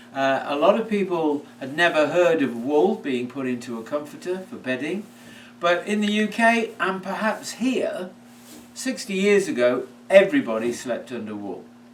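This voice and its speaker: A man at high pitch and a moderate pace, with very wide pitch swings, big swings in loudness and noticeable background noise. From United Kingdom. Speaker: product maker and seller. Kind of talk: product presentation. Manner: hesitant, with fillers.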